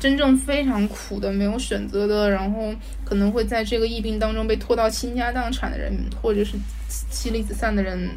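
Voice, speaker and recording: Noticeable background noise and audible room echo are both present. A woman talks through them at a moderate pace. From Hubei (Jingzhou and Wuhan). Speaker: podcast guest. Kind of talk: casual chat. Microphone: poor audio quality.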